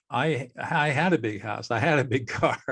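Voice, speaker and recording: A man with an American accent speaks at a fairly slow pace and medium pitch, somewhat breathy, with lively intonation. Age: 70s. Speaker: mediator, former trial lawyer. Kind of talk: podcast interview.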